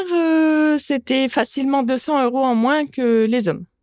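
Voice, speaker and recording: On a very clean recording with a silent background, a woman speaks at a high pitch and moderate pace, the sound dry and close with no echo. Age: 30s. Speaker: butcher and business owner. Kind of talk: testimony.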